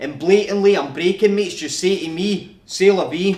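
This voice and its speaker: Speaking with a Scottish accent, a man uses a high pitch and fairly even intonation. His pace is moderate. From Scotland. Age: 20s. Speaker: rapper, spoken word artist. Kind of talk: spoken word poetry performance.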